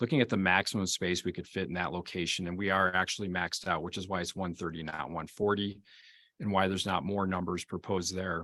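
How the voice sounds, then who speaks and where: A man with an American accent, very deep and low in pitch, bright and sharp in tone, at a fairly quick pace, on a very clean recording with a silent background. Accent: Wisconsin accent, slight, shows when nervous. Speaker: forest service engineer. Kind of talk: public meeting testimony. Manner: halting, with fillers.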